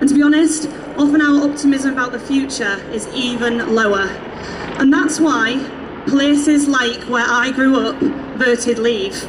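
Over noticeable background noise, a woman talks in a high pitch with fairly even intonation. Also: moderate pace. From East Yorkshire, near Hull. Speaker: youth activist. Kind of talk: rally speech. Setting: outdoor stage with crowd. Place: street. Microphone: pa.

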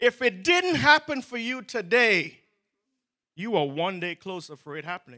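Against a quiet background, a man with an extremely high pitch, very wide pitch swings and a bright, sharp, animated tone speaks in a raised, projected voice. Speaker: preacher. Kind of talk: sermon. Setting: church. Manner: animated, fervent preaching with rising emphasis and repeated exhortations; pleading, urgent prayer-like delivery with interjections of 'O oh God'. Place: church. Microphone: handheld.

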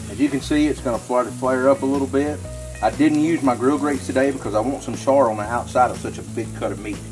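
Clear music plays in the background as a man speaks at a very fast pace with ordinary pitch variation. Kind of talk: tutorial. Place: garden.

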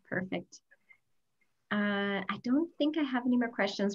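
The woman's voice is somewhat breathy. She speaks at a moderate pace. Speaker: travel advisor. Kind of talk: webinar hosting. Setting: video call.

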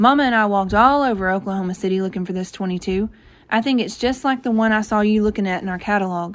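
The clip is plain reading aloud, and its pitch rises and falls in an ordinary way.

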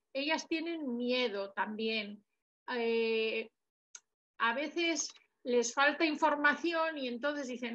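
A woman uses a raised, projected voice with a bright, sharp tone. She speaks at a very slow pace with ordinary pitch variation. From Basque Country. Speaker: audience member. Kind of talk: audience question. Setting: video call. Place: home room. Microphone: video call.

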